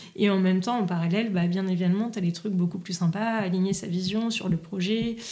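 With a dark, mellow tone and a somewhat breathy quality, the voice moves at a fairly quick pace with fairly even intonation amid audible room echo. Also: woman. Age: 30s. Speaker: restaurant entrepreneur. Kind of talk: casual interview.

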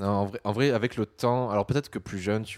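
Recorded dry and close with no echo, a normal speaking voice moves at a fairly quick pace with ordinary pitch variation. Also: man, very clean recording, silent background. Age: 20s. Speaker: podcaster. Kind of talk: casual chat.

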